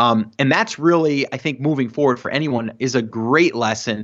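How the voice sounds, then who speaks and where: A normal speaking voice from a man: medium pitch, a fairly quick pace, and ordinary pitch variation. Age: 40s. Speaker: podcaster and online seller. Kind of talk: interview. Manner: filler-heavy casual.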